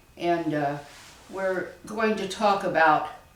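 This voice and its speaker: With an American accent, a woman speaks at a fairly low pitch with ordinary pitch variation, and audible room echo surrounds her voice. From southern Indiana, US. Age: 80s. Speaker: family historian. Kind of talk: oral history interview.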